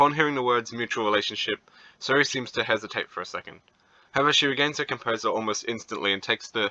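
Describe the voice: It sounds like plain reading aloud.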